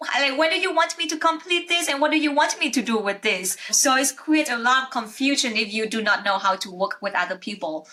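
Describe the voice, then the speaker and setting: A raised, projected voice with a non-native accent, very wide pitch swings and hardly any pauses, over noticeable background noise. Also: woman, high pitch for a woman. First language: not English. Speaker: podcast host, accountant. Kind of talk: interview conversation. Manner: halting.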